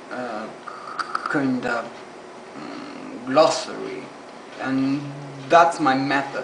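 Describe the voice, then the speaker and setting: A man talks at a very slow pace with long, frequent pauses. Noticeable background noise sits behind him. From Argentina. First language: Spanish. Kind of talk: casual talk to camera. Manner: stuttering, hesitant.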